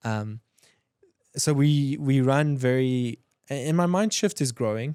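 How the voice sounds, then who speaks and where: A man with a South African accent and a dark, mellow tone is heard in a very clean recording with a silent background. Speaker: entrepreneur, design agency owner. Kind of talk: podcast interview. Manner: fast, animated; stammering restarts.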